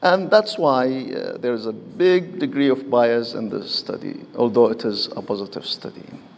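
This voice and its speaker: This man speaks at a medium pitch with very wide pitch swings and hardly any pauses. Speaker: physician giving a medical presentation. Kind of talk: lecture. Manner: slow; halting.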